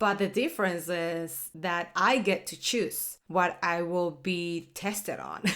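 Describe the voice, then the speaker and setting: Speaking at a very slow pace, a woman with a fairly low pitch keeps her intonation fairly even. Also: hardly any pauses. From Panama. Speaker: food podcaster and home cook. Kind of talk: casual cooking tutorial podcast. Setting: home kitchen. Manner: chatty, with frequent self-corrections and fillers.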